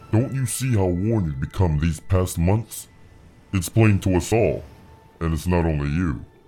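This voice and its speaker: A man puts on a character voice, pitched very deep and low, speaking at a moderate pace with clear music playing behind him. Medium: audio drama. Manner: calm, formal, measured.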